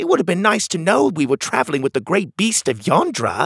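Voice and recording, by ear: A man puts on a character voice pitched high, with very wide pitch swings, vocal fry, a slightly husky edge and a fairly bright tone, at a fairly quick pace, in a dry, close recording with no echo that is very clean over a silent background.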